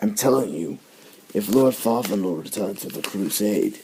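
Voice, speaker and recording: A man's raspy put-on character voice, fairly low in pitch, at a moderate pace. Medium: read story.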